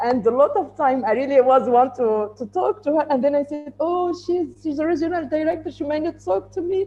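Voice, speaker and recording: A woman speaks at a moderate pace with very wide pitch swings, music playing in the background. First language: not English. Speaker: woman in tech. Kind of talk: panel discussion. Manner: halting.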